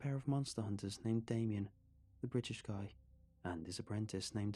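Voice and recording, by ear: The speaker reads aloud in a natural voice, with ordinary pitch variation.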